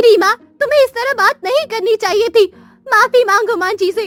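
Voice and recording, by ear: A woman puts on a cartoonish character voice with an extremely high pitch. She moves at a moderate pace with ordinary pitch variation.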